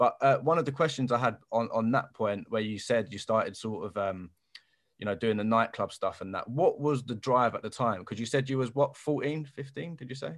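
A man of medium pitch talks at a fairly quick pace in a South London accent, with ordinary pitch variation and a quiet background. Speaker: podcast host. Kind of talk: interview.

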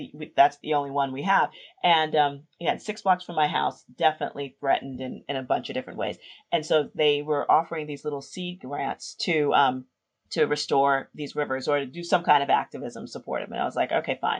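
Delivered at a fairly quick pace with a New York accent, the speech shows big swings in loudness. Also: woman, very deep, low pitch for a woman, ordinary pitch variation. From New York City, South Bronx. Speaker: urban revitalization strategist. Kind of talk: interview.

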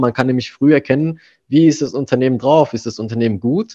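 A man's voice with fairly even intonation, dry and close with no echo, over a quiet background. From Germany. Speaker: manager. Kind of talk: interview. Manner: hesitant, many fillers.

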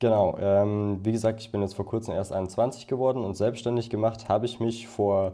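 Medium in pitch and dark, mellow in tone, a man delivers his words at a fairly quick pace. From Upper Bavaria, near Munich. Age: 20s. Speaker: freelance photographer and videographer. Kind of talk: podcast interview. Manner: casual, many filler sounds.

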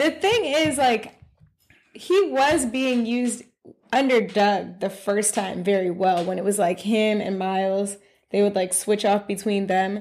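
A woman speaks at a medium pitch with ordinary pitch variation. Her pace is fairly slow, in an ordinary speaking voice. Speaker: podcast co-host. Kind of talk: casual chat.

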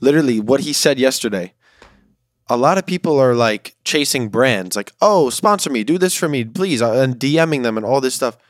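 This very clean recording has a silent background and a dry, close sound with no echo. A man talks at a moderate pace in a medium pitch with lively intonation, in an ordinary speaking voice. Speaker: podcast co-host, college student. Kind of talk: casual chat.

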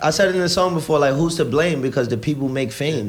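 Here a man with an American accent talks at a fairly quick pace. His voice is fairly high in pitch and somewhat breathy. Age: 20s. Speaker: guest on music podcast. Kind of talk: casual chat.

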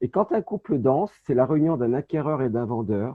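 With a medium pitch, a man talks using lively intonation. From France, Saint-Étienne (Loire). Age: 50s. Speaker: real estate agent. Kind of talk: interview. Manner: halting.

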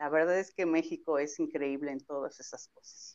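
The setting behind her is quiet. Her pitch swings very widely as this woman talks. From central Mexico. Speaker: travel entrepreneur. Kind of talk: interview.

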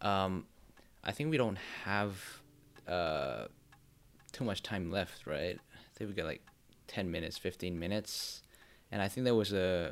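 A man's very deep, low voice at a fairly slow pace, with ordinary pitch variation, big swings in loudness, and long, frequent pauses. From Indonesia. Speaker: podcast host. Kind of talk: scripted intro; casual interview chat, code-switching Indonesian and English.

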